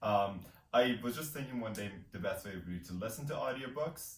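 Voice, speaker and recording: A man's somewhat breathy voice, medium in pitch with ordinary variation, carries audible room echo. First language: not English. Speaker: booktube co-host. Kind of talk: casual chat.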